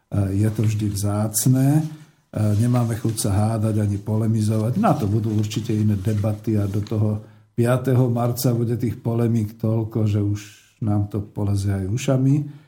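A man's fairly low-pitched, somewhat breathy voice with a dark, mellow tone, monotone, flat intonation, a moderate pace and very even loudness. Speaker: radio host. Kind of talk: radio talk show. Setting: studio.

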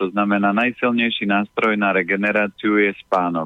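A man speaks in a plain, everyday voice. His pitch is medium, and his intonation is fairly even. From Slovakia, Orava region. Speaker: healthy eating consultant. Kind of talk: radio interview, giving health advice. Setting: phone call.

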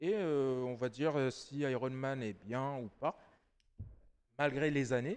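This is a man speaking. His pitch is medium. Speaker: podcast co-host. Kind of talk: casual chat. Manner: animated.

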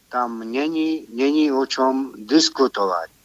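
Speaking very slowly at a medium pitch, a man keeps his intonation fairly even, in a dry, close sound with no echo. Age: 60s. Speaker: caller. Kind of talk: phone-in call. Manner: halting.

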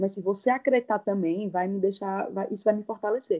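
The voice has a strong Pernambuco accent and a dark, mellow tone. It moves at a fairly quick pace with ordinary pitch variation. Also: woman. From Pernambuco, Brazil (Caruaru). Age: 20s. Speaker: advertising professional. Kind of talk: casual chat.

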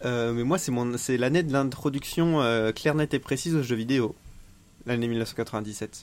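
Moving at a very slow pace, a man speaks at medium pitch with ordinary pitch variation. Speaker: podcast co-host. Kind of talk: casual chat.

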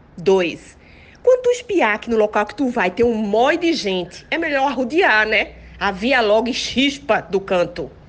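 Lively intonation from a woman, set against noticeable background noise. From Pernambuco, Brazil (Santo Amaro, Recife). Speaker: comedy podcast co-guest. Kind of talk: comedic casual chat.

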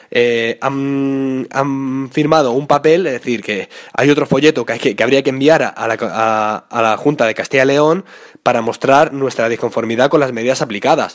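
This man talks at a moderate pace and a medium pitch. His intonation stays fairly even. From Spain, Madrid. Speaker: mountain bike podcaster. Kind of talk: solo podcast commentary. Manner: halting with fillers and repetitions.

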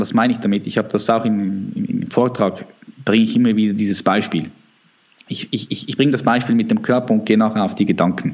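At a fairly quick pace, a man of medium pitch speaks with fairly even intonation. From Switzerland. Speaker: natural bodybuilder. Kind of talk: interview. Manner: halting.

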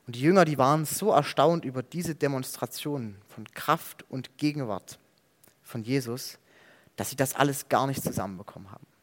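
On a very clean recording with a silent background, a man with a plain, everyday voice speaks at a moderate pace and fairly high pitch, with ordinary pitch variation and big swings in loudness. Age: 20s. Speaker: theology student preaching. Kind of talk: sermon.

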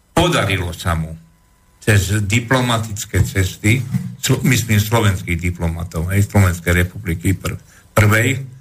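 Noticeable background noise sits behind a man with a fairly low voice talking at a fairly slow pace with ordinary pitch variation. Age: 70s. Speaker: historian and political commentator. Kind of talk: interview on history. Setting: radio studio.

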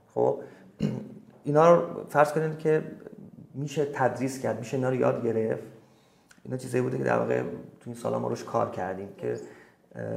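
A man speaking at a very fast pace with long, frequent pauses, audible room echo and noticeable background noise. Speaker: singer. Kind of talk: interview.

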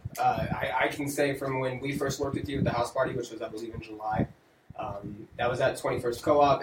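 Noticeable background noise sits behind a man talking at a very fast pace. His intonation stays fairly even. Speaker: livestream host. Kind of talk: casual chat. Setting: studio.

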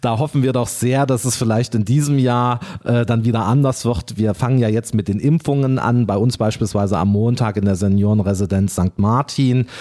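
This man's voice has a dark, mellow tone and ordinary pitch variation. He barely pauses, and his loudness stays very even. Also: medium pitch for a man, moderate pace. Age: 40s. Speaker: town mayor and bank clerk. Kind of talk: interview.

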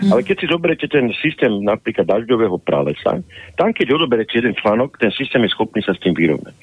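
A man at medium pitch, very fast pace, and very wide pitch swings. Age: 60s. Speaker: political analyst and party leader. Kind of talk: political interview. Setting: phone call. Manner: animated.

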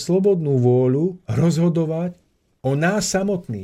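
A man's dark, mellow tone with lively intonation at a fairly slow pace. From Slovakia, Orava region. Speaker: spiritual lecturer. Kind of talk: radio talk lecture. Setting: radio studio.

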